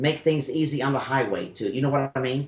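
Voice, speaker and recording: Somewhat breathy, a man speaks at a fairly quick pace with a Memphis accent. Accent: Southern US (Memphis). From US South (Memphis, Tennessee). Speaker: spiritual medium radio host. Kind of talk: call-in radio reading. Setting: radio studio.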